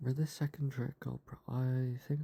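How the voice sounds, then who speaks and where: Calm and somewhat breathy, a man with a medium pitch and a dark, mellow tone speaks at a fairly slow pace in a dry, close sound with no echo. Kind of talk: soft-spoken ASMR for sleep and relaxation. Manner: soft-spoken, calm, slow.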